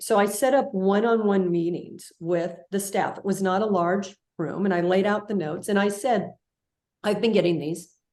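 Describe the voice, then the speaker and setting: A woman speaks with an American accent at a medium pitch. Her pace is moderate and her pitch varies in an ordinary way. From California. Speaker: leadership guest, former public media broadcaster. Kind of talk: interview storytelling.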